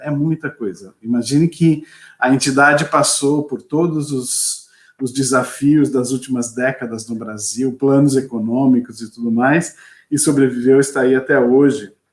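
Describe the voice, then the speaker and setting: A man speaks at a fairly slow pace in an unremarkable speaking voice. His pitch is fairly high, with ordinary variation. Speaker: lawyer and NGO president. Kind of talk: webinar presentation. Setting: video webinar.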